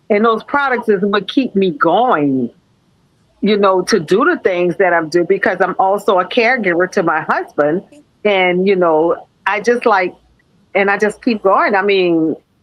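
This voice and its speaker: A woman speaks fairly slowly with ordinary pitch variation. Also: medium pitch for a woman, very even loudness. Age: 60s. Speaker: school nurse. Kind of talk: interview. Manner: halting.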